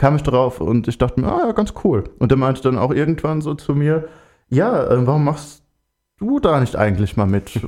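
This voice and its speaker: Against a quiet background, a man with a dark, mellow tone and medium pitch talks at a moderate pace with lively intonation. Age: 20s. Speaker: student and LGBT volunteer activist. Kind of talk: radio interview. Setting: studio.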